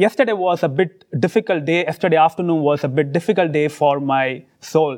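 At a moderate pace with hardly any pauses, a man speaks with a fairly high pitch, ordinary pitch variation, and very even loudness. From India, Mumbai. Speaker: preacher. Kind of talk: sermon. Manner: halting, pausing for interpreter.

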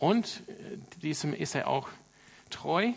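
Very slow pace and lively intonation from a man. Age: 30s. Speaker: pastor. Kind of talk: sermon. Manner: hesitant with filler sounds.

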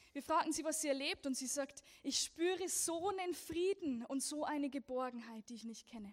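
Speaking with a Lower Bavarian accent, a woman keeps a moderate pace with hardly any pauses. Her intonation is lively, and her loudness swings widely. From Lower Bavaria, Germany. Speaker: persecution ministry speaker. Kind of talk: church talk. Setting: church service.

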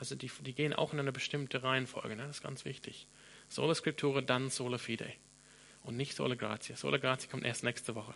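A man with an English accent talks at a very fast pace, medium pitch and fairly even intonation. His tone is bright and sharp, with vocal fry. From Australia, Sydney. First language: English (speaking German). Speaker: pastor. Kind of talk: sermon.

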